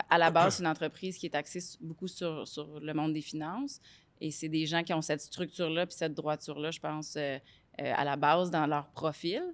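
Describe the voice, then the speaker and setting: A woman speaks fairly quickly in a very deep, low pitch, her intonation monotone and flat. The recording is very clean and the background is silent. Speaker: entrepreneur. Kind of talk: podcast interview. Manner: loud; hesitant, many fillers.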